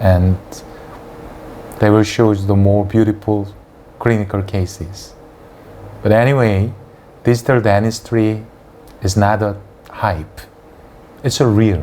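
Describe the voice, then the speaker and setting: With a Korean accent, a man speaks at a fairly low pitch and fairly slow pace, leaving long, frequent pauses. Room echo and background noise are noticeable, and his intonation is fairly even. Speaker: dentist and lecturer. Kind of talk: lecture.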